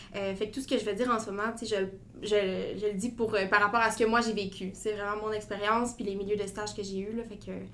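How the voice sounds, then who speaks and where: Over noticeable background noise and audible room echo, a woman with a fairly high pitch talks fairly quickly in a flat, monotone delivery. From Quebec (Gatineau). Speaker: medical student. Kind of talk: interview.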